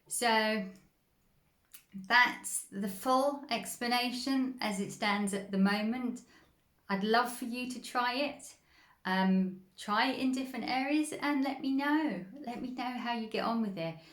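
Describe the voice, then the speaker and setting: Fairly slow speech from a woman with a high pitch and ordinary pitch variation, plus audible room echo. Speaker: spiritual healing coach. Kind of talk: instructional talk.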